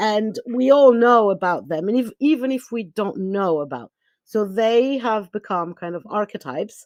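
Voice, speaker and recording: Against a quiet background, a woman with a Greek accent speaks at a fairly high pitch with lively intonation. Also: moderate pace. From Greece. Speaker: spiritual teacher. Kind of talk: podcast interview. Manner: halting.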